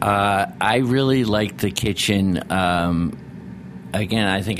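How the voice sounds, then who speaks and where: Noticeable background noise sits behind a man with an American accent. He talks at a fairly slow pace with ordinary pitch variation. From Rhode Island and Philadelphia. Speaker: chef and restaurateur. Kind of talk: interview. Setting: studio.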